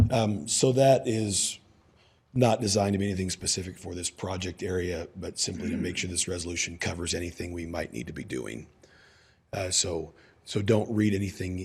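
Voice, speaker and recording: A man with a very deep, low pitch talks at a fairly quick pace, his voice somewhat breathy and his pitch variation ordinary. The recording is very clean, with a silent background. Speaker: outside redevelopment attorney. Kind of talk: city council meeting testimony. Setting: council chambers. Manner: hesitant, many fillers.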